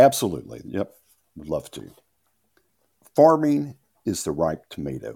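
With vocal fry and a fairly low pitch, a man speaks at a fairly slow pace, his pitch swinging very widely, with long, frequent pauses. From Louisiana. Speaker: farmer and author. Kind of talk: interview.

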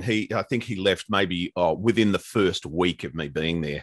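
Speaking at a moderate pace, a man with an Australian accent has a very deep, low pitch. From Australia, Melbourne. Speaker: radio disc jockey. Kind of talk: interview.

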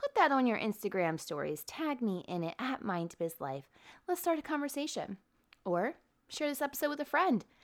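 Speaking at a moderate pace, a woman moves through very wide pitch swings. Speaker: podcast host. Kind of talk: podcast interview. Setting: video call. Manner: energetic.

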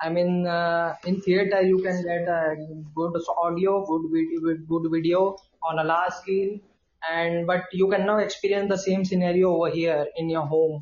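In an Indian accent, a man speaks at a moderate pace with a high pitch and monotone, flat intonation. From India, Indore, Madhya Pradesh. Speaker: guest from abroad. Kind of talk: casual chat. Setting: video call. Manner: halting.

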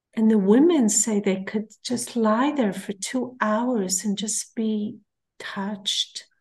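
A woman with an Israeli accent speaks very slowly in a fairly high, somewhat breathy voice with fairly even intonation. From Israel, kibbutz. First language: Hebrew. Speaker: therapist and peace activist. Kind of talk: interview.

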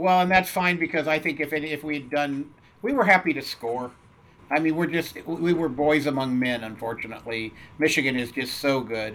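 A man with an American accent speaks in an ordinary speaking voice, his pitch fairly high, his pitch variation ordinary and his pace moderate. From US Southwest and California. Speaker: turfgrass science professor. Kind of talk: interview. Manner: casual with frequent fillers.

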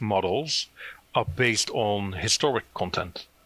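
A man's fairly low voice with a Dutch accent and ordinary pitch variation, in a dry, close sound with no echo. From Netherlands. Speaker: SEO consultant. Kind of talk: interview.

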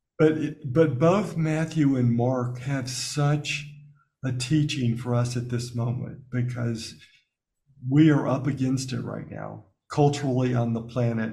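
A man with an American accent speaks in a dark, mellow, somewhat breathy tone with fairly even intonation. Audible room echo surrounds his voice. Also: medium pitch for a man, fairly slow pace. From US South, Alabama. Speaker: spiritual teacher and author. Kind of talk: interview.

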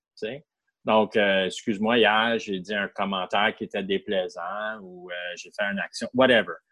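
Speaking at a moderate pace with a Canadian French accent, a man with a fairly low pitch keeps his intonation fairly even while his loudness swings widely. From Ottawa, Ontario, Canada. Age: 50s. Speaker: person in recovery from alcohol addiction. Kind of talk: personal testimony interview.

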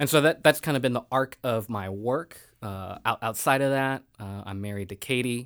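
A man's normal speaking voice, a normal speaking voice at medium pitch with an American accent, ordinary pitch variation, moderate pace and big swings in loudness, in a dry, close sound with no echo on a very clean recording with a silent background. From Richmond, Virginia, US. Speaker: nonprofit director. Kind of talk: interview.

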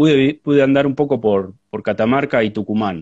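A man uses a plain, everyday voice, keeping a moderate pace and ordinary pitch variation. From Argentina, La Pampa province. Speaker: agronomist and researcher. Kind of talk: live interview conversation. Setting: Instagram live stream.

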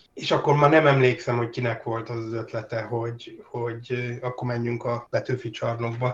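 Against noticeable background noise, a man talks at a moderate pace and medium pitch with monotone, flat intonation. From Hungary. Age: 50s. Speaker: tabletop role-playing game designer. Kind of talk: interview. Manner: halting, many fillers.

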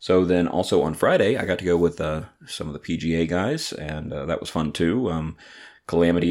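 A man with a Southern US accent speaks at a fairly quick pace in a very deep, low voice, his intonation fairly even. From Atlanta, Georgia. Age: 30s. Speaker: podcast host and brewery owner. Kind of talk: casual solo podcast monologue. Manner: halting with many fillers.

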